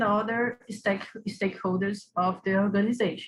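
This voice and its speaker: Speaking with a Brazilian Portuguese accent, a woman has a medium pitch and a somewhat breathy voice. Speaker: academic researcher. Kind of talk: conference paper presentation. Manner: hesitant.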